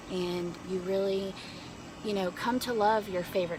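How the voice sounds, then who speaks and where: A woman with an American accent speaks at a moderate pace in a fairly low voice, with noticeable background noise and audible room echo. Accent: Southern, slight, stronger when tired. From North Carolina. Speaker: family vlogger. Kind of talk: casual vlog talk to camera. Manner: hesitant, many fillers.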